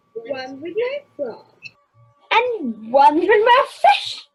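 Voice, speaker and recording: A put-on character voice, extremely high, swings very widely in pitch. It moves at a very slow pace, with faint music in the background. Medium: stage play. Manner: brisk, casual street-hawker patter.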